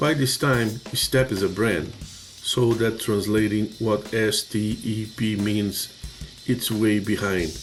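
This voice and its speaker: Music plays in the background behind a man's fairly low voice. He speaks at a very slow pace with fairly even intonation. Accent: strong Portuguese. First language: Portuguese. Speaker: construction safety trainer. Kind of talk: training presentation.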